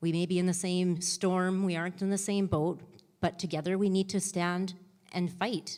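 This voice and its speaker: In an Albertan accent, a woman speaks at a medium pitch and moderate pace, her intonation monotone and flat and her loudness very even, on a very clean recording with a silent background. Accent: Canadian (Alberta). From Canada, Lethbridge, Alberta. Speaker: election candidate. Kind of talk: debate opening statement. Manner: halting, repeats words.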